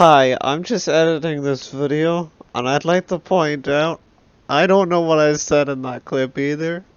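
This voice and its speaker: An unremarkable speaking voice. The pace is fairly slow. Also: man. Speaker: gaming video creator. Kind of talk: gameplay commentary.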